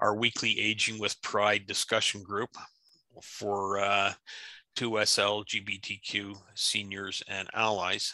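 A man speaks with a bright, sharp tone. The sound is dry with no echo, and the background is quiet. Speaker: discussion group host. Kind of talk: meeting introduction. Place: home room. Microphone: video call.

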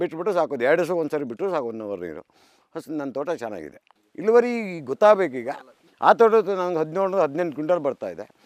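Over a quiet background, a man's fairly high voice swings very widely in pitch, heard with a dry, close sound and no echo. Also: big swings in loudness. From rural Karnataka, India. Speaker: farmer. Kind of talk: interview.

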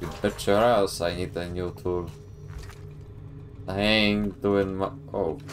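A man talks at a very slow pace with a very deep, low pitch. Long, frequent pauses break his speech over light background noise. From Poland. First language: Polish. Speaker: video game streamer; streamer. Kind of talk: live gameplay commentary. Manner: animated. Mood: joking, sarcastic.

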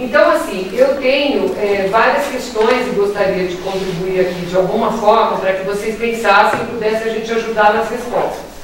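Speaking at a moderate pace with hardly any pauses, a woman with a fairly high voice and ordinary pitch variation comes through strong room echo over light background noise. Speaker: veterinarian. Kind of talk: panel discussion. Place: meeting room. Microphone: camera far.

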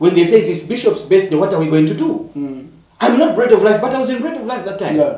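A man's very fast speech with audible room echo. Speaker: guest. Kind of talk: panel discussion. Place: studio.

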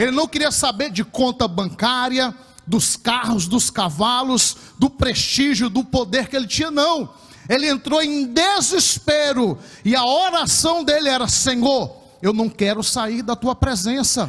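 Delivered at a fairly slow pace, the voice has lively intonation and very even loudness. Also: man, extremely high pitch for a man. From Brazil. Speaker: preacher. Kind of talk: sermon delivered in church, with Bible reading and closing prayer. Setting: church. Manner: fervent, emphatic, repeating phrases for effect; exhorting the congregation directly. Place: church. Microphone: handheld.

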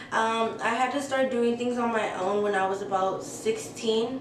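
With an American accent and fairly even intonation, the voice comes through noticeable background noise and audible room echo. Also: woman. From US West Coast, San Francisco Bay Area (Redwood City). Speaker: YouTuber. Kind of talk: casual Q&A vlog. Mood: relaxed, candid. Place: home room.

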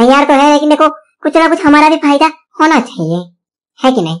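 This is a put-on character voice with a high pitch. It moves at a fairly quick pace. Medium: machinima. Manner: haggling.

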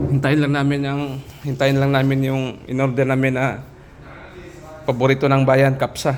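A man speaks at a moderate pace in a medium-pitched, monotone voice, leaving long and frequent pauses, with audible echo in the room. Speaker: overseas worker vlogger. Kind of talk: casual vlog. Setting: restaurant.

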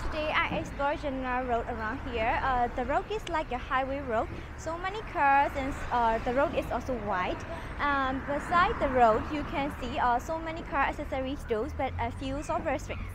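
Noticeable background noise surrounds a woman speaking at high pitch and a moderate pace, with ordinary pitch variation and a dry sound with no echo. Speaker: travel vlogger. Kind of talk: casual vlog chat. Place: street. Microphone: lapel.

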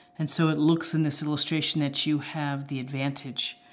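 A woman speaks in a very deep, low voice with a monotone, flat intonation. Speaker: tarot reader. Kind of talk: tarot reading commentary. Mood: calm, reflective. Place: home room.

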